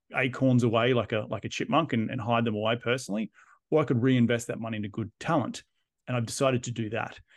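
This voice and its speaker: Speaking very fast with an Australian accent, a man keeps his intonation fairly even. The background is quiet. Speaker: real estate investor and developer. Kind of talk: interview.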